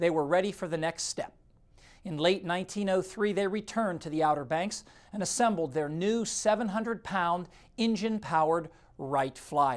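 Someone talks at a moderate pace in a Midwestern American accent. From Ohio. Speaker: TV weather presenter. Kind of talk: scripted narration.

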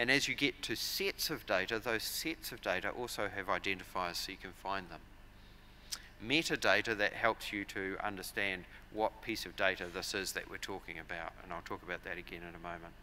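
A man with a New Zealand accent speaks at a fairly quick pace and a fairly low pitch. His pitch varies in an ordinary way, with light background noise. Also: big swings in loudness. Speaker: agricultural software company director. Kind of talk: conference presentation. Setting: stage with audience. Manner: frequent fillers and repetitions. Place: hall. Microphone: podium.

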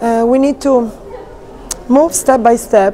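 Light background noise sits behind a woman who speaks at a fairly slow pace with an Italian accent and fairly even intonation. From Italy. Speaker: figure skating coach; ice dance coach. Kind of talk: interview. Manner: halting. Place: hall. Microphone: lapel.

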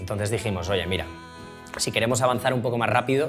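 A man speaks at a very fast pace. Clear music plays in the background. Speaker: interviewee. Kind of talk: interview answer. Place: studio.

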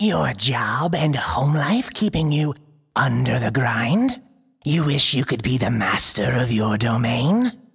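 Raspy, put-on character voice at a fairly slow pace, with very even loudness. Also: man, medium pitch for a man, lively intonation. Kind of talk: parody TV commercial read. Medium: audio drama. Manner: upbeat, salesy.

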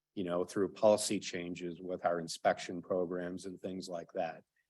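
The man's voice sits at a very deep, low pitch. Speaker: city building commissioner. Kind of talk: presentation at council meeting. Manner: loud.

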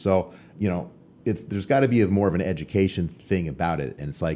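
A man's very deep, low voice with vocal fry, a dark, mellow tone and an American accent, at a fairly quick pace over light background noise. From Arizona, US (Tucson); Arizona. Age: 50s. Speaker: professional bodybuilder; podcast guest. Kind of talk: casual chat. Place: studio. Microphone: studio mic.

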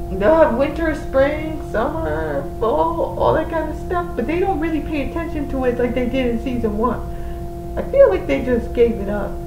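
A woman speaks at a moderate pace with clear music playing in the background. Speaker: reaction vlogger. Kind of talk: casual vlog chat. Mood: relaxed, slightly wistful. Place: home room. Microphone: webcam.

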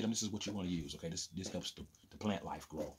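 A man speaks very fast in a fairly low voice, his intonation fairly even. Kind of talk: casual vlog chat. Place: home room. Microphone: phone near.

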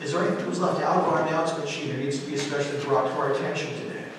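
Strong room echo and clear background noise surround a man speaking at a medium pitch.

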